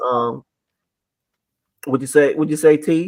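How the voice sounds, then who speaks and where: Here a man speaks in a calm tone at a fairly high pitch. His pace is fairly slow and his intonation fairly even. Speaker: podcast co-host, sports commentator. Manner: calm, laid-back.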